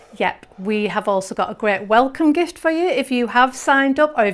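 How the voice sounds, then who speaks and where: Noticeable background noise accompanies a woman. She speaks at a fairly quick pace with lively intonation. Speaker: quilting teacher and presenter. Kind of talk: live webinar presentation. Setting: studio. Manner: upbeat.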